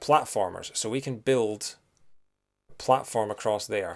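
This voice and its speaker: Man with a Scottish accent at a fairly slow pace, medium pitch, ordinary pitch variation, very clean recording with a silent background. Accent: soft Scottish. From Scotland. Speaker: video game streamer. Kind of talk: live gameplay stream commentary. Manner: casual, with many fillers.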